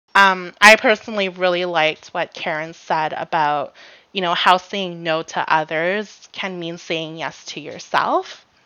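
At a fairly slow pace, a plain, everyday voice keeps fairly even intonation while making big swings in loudness. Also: woman, fairly low pitch for a woman. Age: 20s. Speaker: podcast co-host. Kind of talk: casual chat. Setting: remote recording, not in person.

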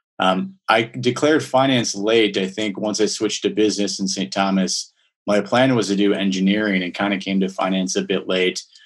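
Using a normal speaking voice, a man with an American accent talks at a moderate pace with hardly any pauses. His pitch is fairly low, his intonation fairly even, and the background quiet. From Minnesota. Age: 30s. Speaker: finance professional. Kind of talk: interview. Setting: call.

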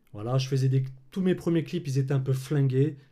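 This man has a dark, mellow tone at a medium pitch, somewhat breathy. His intonation stays fairly even. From France, Clermont-Ferrand. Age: 30s. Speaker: filmmaker and colorist. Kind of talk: casual interview chat.

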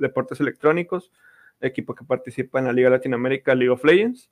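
A man with a medium pitch speaks with fairly even intonation in a dry, close sound with no echo. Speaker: podcast host, esports content creator. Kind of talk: casual chat.

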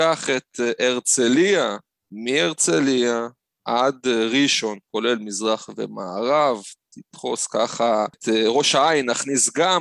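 At a very slow pace, a man speaks in a medium pitch with ordinary pitch variation, in a dry, close sound with no echo on a very clean recording with a silent background. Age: 30s. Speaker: tour operator. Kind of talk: interview.

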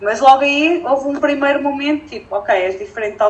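A woman talks at a fairly quick pace with lively intonation. There is noticeable background noise. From northern Portugal (Felgueiras). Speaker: entrepreneur and environmental engineer. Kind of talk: casual interview chat.

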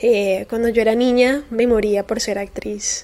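High-pitched and with fairly even intonation, a woman's voice is heard. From Colombia, Cali. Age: 20s. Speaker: podcast host. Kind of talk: personal monologue podcast.

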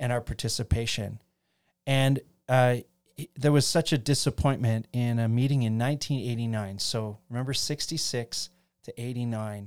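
A man talks at a fairly slow pace in a medium pitch, with fairly even intonation. The recording is very clean with a silent background. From Ontario, Canada (Chatham). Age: 50s. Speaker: pastor. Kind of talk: casual interview about theology. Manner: halting, many fillers.

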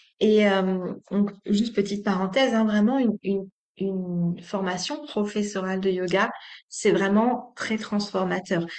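The delivery is fairly slow, the intonation fairly even. Overall, an ordinary speaking voice. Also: woman, medium pitch for a woman. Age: 30s. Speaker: yoga teacher. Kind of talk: interview.

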